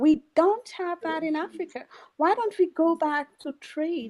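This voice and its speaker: With a Kenyan accent, a woman talks at a fairly slow pace in an extremely high voice with lively intonation. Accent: Kenyan accent, noticeable. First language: a Kenyan mother tongue. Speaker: pan-African activist. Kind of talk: online audio room discussion. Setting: online audio space.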